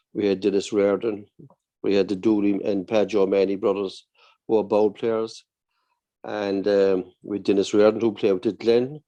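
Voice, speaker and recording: A man with a Cork accent speaks in a fairly low pitch with a dark, mellow tone and monotone, flat intonation. His pace is moderate, and the background is quiet. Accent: Cork Irish. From Ireland, Cork (Ballincollig and Blackpool). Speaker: barber. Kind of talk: casual chat.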